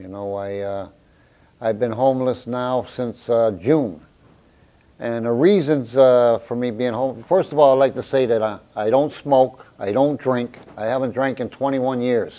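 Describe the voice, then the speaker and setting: A man's medium-pitched voice, fairly slow, with ordinary pitch variation. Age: 60s. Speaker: homeless man. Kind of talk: interview testimony. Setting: on camera. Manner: halting, many fillers.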